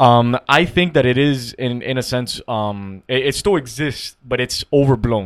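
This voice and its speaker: Using a normal speaking voice, a man speaks at a fairly slow pace and medium pitch with ordinary pitch variation and hardly any pauses, the sound dry and close with no echo. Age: 20s. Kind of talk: casual chat.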